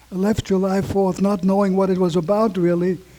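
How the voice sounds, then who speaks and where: This man has a German accent and a high pitch. His intonation stays fairly even. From Vienna, Austria. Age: 80s+. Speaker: Holocaust survivor. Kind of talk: testimony. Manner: halting.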